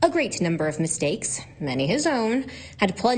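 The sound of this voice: This is an unforced reading voice. It carries the text without strain.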